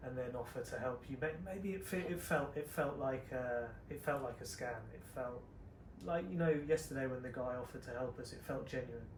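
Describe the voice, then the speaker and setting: A soft-spoken man talks at a fairly quick pace in a medium-pitched voice with ordinary pitch variation, and audible room echo surrounds him. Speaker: travel vlogger. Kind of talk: casual chat.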